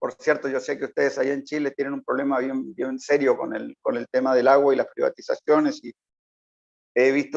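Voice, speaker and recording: The pace is moderate as a man talks. The sound is dry and close, with no echo. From Uruguay, then Nicaragua from youth. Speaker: political analyst. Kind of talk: interview.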